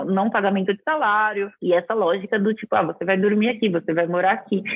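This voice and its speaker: The speaker is a woman with an ordinary speaking voice. Her pitch is medium, with ordinary pitch variation. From interior of São Paulo state, Brazil (Araraquara). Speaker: architect and TV decor presenter. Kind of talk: interview conversation.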